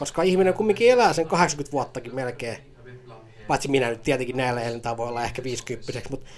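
A man speaks at a moderate pace. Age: 30s. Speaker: podcast host. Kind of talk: casual solo commentary. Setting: at home on a sofa. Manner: animated.

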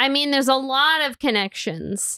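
Against a very clean, silent background, a woman with a high pitch and a bright, sharp tone uses a raised, projected voice, the sound dry and close with no echo. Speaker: podcast host. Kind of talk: casual chat, podcast review. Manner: casual, chatty.

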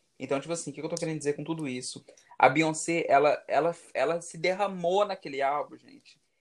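A man with an ordinary speaking voice, pitched fairly high. He talks at a fairly quick pace with fairly even intonation, while his loudness swings widely. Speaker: podcast co-host. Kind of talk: casual chat.

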